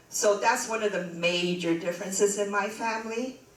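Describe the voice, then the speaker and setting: The speaker has an American accent and ordinary pitch variation. Audible room echo and noticeable background noise are present. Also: woman. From southern China village, raised in Los Angeles from age 6. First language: Chinese. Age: 60s. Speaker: retired educator and community historian. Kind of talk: talk to an audience. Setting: meeting room with audience. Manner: animated.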